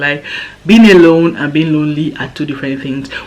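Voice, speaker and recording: The talking moves at a very fast pace. Noticeable background noise sits behind it. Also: woman. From Nigeria. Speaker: vlogger. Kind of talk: casual chat.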